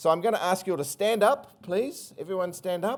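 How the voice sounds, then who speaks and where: A man with a New Zealand accent and fairly even intonation. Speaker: country brand agency chief executive. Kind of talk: conference presentation. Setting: stage with audience.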